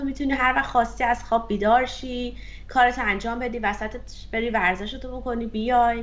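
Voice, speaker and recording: A woman's fairly high voice at a fairly quick pace, over noticeable background noise. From Iran. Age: 30s. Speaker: software engineer and career coach. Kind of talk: interview.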